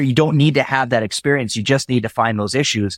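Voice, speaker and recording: A man with a plain, everyday voice, fairly quick pace and ordinary pitch variation, in dry, close sound with no echo. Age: 40s. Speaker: entrepreneur. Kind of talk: interview conversation. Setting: call.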